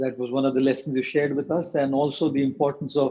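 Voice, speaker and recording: A man with an Indian accent speaks in a fairly high pitch and a dark, mellow tone, with fairly even intonation. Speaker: monk and motivational speaker. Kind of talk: interview closing remarks. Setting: video call. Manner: formal.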